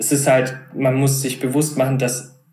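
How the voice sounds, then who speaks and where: A man talks at a moderate pace in a medium pitch. Room echo is audible around him. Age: 20s. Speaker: startup co-founder. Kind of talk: interview conversation.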